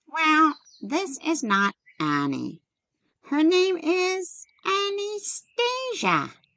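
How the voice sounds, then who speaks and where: A woman's put-on character voice, squeaky and extremely high, with very wide pitch swings, a very slow pace and long, frequent pauses. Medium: short film. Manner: folksy, cheeky.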